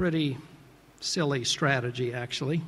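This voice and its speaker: A man talks at a moderate pace in a fairly high pitch with ordinary pitch variation. His voice is somewhat breathy. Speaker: venture capital investor, interviewer. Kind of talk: interview on stage, questioning an honoree. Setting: award ceremony with audience.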